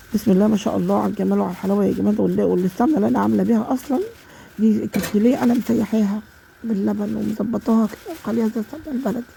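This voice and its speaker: This woman rushes through her words very fast. Behind her, noticeable background noise can be heard. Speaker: home cook. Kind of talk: cooking tutorial. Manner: halting.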